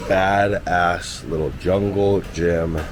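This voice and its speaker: A man speaks in a very deep, low voice, with noticeable background noise and audible room echo. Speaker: travel vlogger. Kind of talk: casual vlog narration. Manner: animated.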